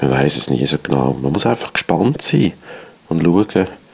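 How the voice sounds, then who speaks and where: Over noticeable background noise, a man speaks fairly slowly with ordinary pitch variation. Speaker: radio host and rapper. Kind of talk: radio moderation.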